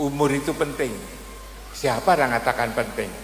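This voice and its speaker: Speaking at a mid-range pitch, a man is heard through clear background noise and audible room echo. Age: 70s. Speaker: Islamic preacher and professor. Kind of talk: religious sermon. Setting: religious gathering at a boarding school.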